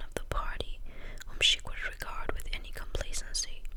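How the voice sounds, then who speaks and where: Whispering in a calm tone, a soft-spoken woman talks at a fairly quick pace over noticeable background noise. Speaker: ASMR content creator. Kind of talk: whispered audiobook-style reading. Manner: whispered, soft, calm.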